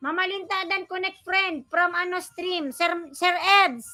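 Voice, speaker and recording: The voice is raised and projected, bright and sharp in tone, with fairly even intonation at a fairly slow pace. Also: woman. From Bicol region, Philippines. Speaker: vlogger, live streamer. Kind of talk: live stream chat with viewers.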